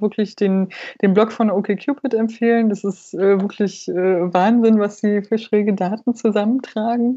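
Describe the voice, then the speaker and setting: At a moderate pace and medium pitch, a woman talks in a plain, everyday voice. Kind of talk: casual podcast chat.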